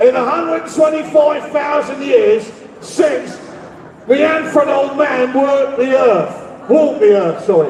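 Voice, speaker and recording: With audible room echo and noticeable background noise, a man speaks at a fairly slow pace in an animated tone, his extremely high pitch rising and falling in lively intonation. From London. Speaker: rally speaker. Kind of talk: rally speech.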